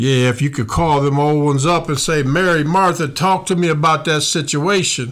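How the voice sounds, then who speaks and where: Recorded with audible room echo, the voice runs on with hardly any pauses. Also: man, fairly high pitch for a man, moderate pace, very even loudness. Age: 60s. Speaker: pastor and podcast host. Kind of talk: sermon. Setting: studio. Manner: animated.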